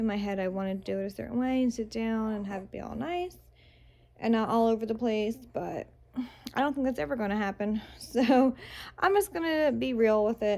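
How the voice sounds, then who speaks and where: Her tone dark and mellow, a woman talks at a moderate pace in a fairly high pitch with ordinary pitch variation. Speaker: vlogger, new mother. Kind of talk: casual vlog. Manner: hesitant, many fillers.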